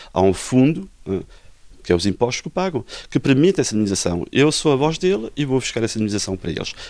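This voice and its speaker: Very wide pitch swings fill a man's speech, delivered at a very fast pace. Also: medium pitch for a man. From Portugal. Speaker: lawyer. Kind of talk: interview.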